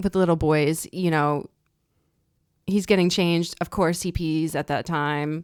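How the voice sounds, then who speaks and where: Speaking at a fairly slow pace, a woman with a fairly low voice is captured in a very clean recording with a silent background. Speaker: podcast co-host, military spouse. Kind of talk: casual chat. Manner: animated.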